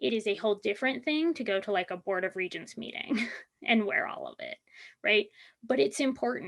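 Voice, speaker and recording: Speaking at a fairly quick pace, a woman shows vocal fry and very wide pitch swings around a fairly high pitch. The background is quiet. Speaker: university teacher and diversity trainer. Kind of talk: conference presentation.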